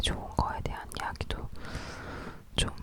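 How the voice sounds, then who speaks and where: Whispering at a moderate pace, with noticeable background noise. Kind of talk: ASMR whispered talk. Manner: whispered, soft-spoken.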